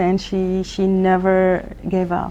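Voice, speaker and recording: Noticeable background noise sits behind the speaker. She is a woman with an Arabic accent. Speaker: emergency physician. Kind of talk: interview. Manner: halting.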